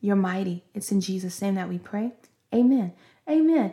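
Somewhat breathy with a dark, mellow tone, a woman talks with ordinary pitch variation. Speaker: podcast host and preacher. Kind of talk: fervent prayer and prophetic preaching. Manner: impassioned, rhythmic, praise-filled delivery with repeated hallelujahs; earnest, exhortative, speaking as if by divine inspiration.

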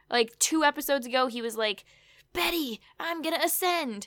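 A woman speaks in a bright, sharp tone on a very clean recording with a silent background. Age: 20s. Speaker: podcast host. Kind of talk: casual recap chat.

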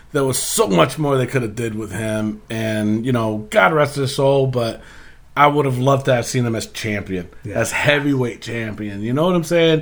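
A man at a moderate pace, medium in pitch, animated in tone, with ordinary pitch variation. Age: 40s. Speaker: wrestling podcast host. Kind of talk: casual chat.

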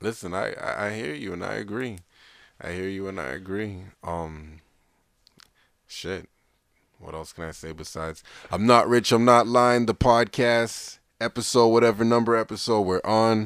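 A man talks at a fairly low pitch and moderate pace, with ordinary pitch variation and big swings in loudness. His long, frequent pauses stand out on a very clean recording with a silent background. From Toronto, Canada. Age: 30s. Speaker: podcast co-host. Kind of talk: casual chat.

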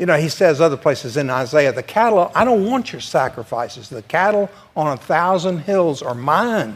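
A man with a Southern US accent talks at a moderate pace with hardly any pauses, his fairly high pitch swinging very widely. The recording is very clean, with a silent background. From US South. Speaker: church class panelist. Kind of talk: church discussion.

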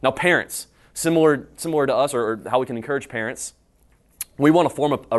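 A man talks at a fairly quick pace with medium pitch and ordinary pitch variation. It is a plain, everyday voice over a quiet background. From North Carolina, High Point. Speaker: young adults pastor. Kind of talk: conference breakout talk. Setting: conference room with live audience.

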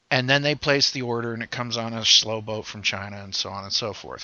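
A man with a Midwestern accent speaks at a medium pitch with ordinary variation in it. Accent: general American, Midwest. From Ohio and Pennsylvania. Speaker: veteran podcaster. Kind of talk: casual chat.

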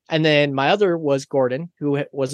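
This man has an ordinary speaking voice with a fairly high pitch and fairly even intonation. The sound is dry and close, with no echo. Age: 30s. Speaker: podcast guest. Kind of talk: casual chat.

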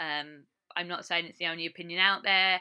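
A woman's fairly low voice, bright and sharp in tone, with fairly even intonation, on a very clean recording with a silent background. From England, Essex. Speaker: podcast host. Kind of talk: casual monologue. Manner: casual, unscripted.

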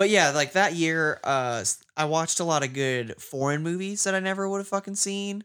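There is a bright, sharp tone to this man's voice, recorded very cleanly with a silent background. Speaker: podcast co-host. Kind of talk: casual chat. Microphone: new mic, crisp sound.

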